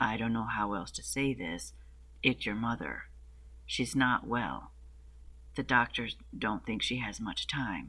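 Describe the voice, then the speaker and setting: Using a put-on character voice, a man speaks in a gravelly, medium-pitched tone at a fairly slow pace, with long, frequent pauses. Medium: read story.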